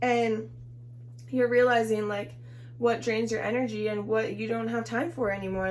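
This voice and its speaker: A woman speaks at a moderate pace. There is audible room echo and noticeable background noise. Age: 20s. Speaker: tarot reader. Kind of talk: tarot reading. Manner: casual, filler-heavy.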